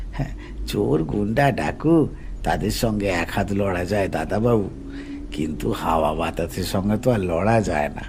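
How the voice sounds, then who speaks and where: Over loud background noise, a man puts on a gruff character voice at a very deep, low pitch and a moderate pace. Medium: read story. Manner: hesitant, stammering.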